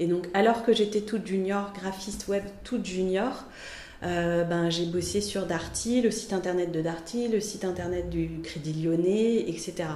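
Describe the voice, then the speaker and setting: A woman's medium-pitched voice with fairly even intonation at a fairly slow pace, with audible room echo and noticeable background noise. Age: 40s. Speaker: freelance art director and graphic designer. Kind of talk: interview.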